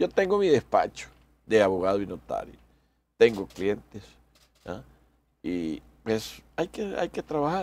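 With long, frequent pauses, a man talks at a fairly slow pace in a dry sound with no echo. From El Salvador. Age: 60s. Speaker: electoral magistrate and lawyer; interview guest. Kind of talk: radio interview. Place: studio.

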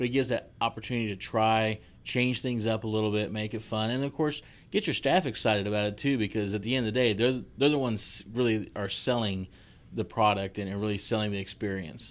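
In a very clean recording with a silent background, a man with a fairly low pitch and an unremarkable speaking voice talks at a fairly quick pace with fairly even intonation. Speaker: podcast co-host, foodservice marketer. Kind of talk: casual chat.

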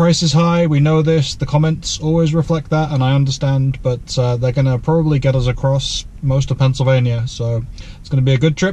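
Fairly quick speech from a man, with ordinary pitch variation. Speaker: EV road trip vlogger. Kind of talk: casual vlog chat. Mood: upbeat, relaxed. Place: car. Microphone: camera far.

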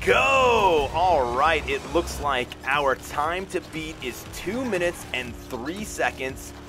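A man with a fairly high pitch speaks at a very slow pace and in an upbeat tone, with hardly any pauses. Music plays in the background. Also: lively intonation. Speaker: gaming commentator. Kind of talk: video game commentary.

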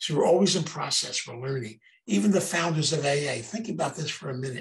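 A man with an American accent speaks at a fairly quick pace in a fairly high, somewhat breathy voice with ordinary pitch variation. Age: 80s+. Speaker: recovery program speaker. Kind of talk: lecture. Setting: video call.

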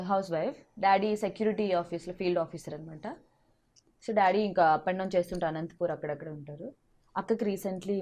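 Her voice sits in the middle range for a woman, and its pitch moves in an ordinary way. This is a normal speaking voice. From Andhra Pradesh, Vizag. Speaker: actress and TV comedian. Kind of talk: interview.

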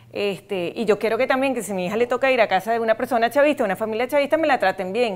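Fairly high in pitch, a woman talks at a very fast pace. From Venezuela. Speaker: human rights advocate, wife of a prisoner; interview guest. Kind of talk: casual chat. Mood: earnest, emotional. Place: studio. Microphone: lapel.

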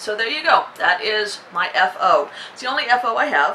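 A woman's bright, sharp tone at a moderate pace, with faint background noise

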